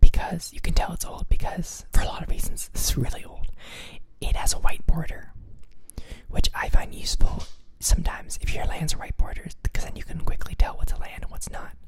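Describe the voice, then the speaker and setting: Someone is whispering. The pace is fairly quick. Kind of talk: whispered ASMR talk about a card game deck. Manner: whispered, soft.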